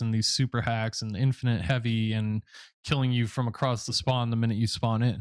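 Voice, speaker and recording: A man with an unremarkable speaking voice and medium pitch talks at a moderate pace on a very clean recording with a silent background and a dry, close sound with no echo. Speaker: YouTube gamer and interviewer. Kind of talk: interview question.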